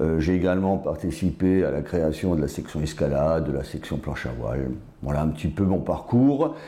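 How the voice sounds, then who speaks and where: In a room with audible echo, a man speaks with vocal fry, a very deep, low pitch and ordinary pitch variation. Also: moderate pace. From Alsace, France (Strasbourg area). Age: 60s. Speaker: politician. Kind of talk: interview. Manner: hesitant with fillers.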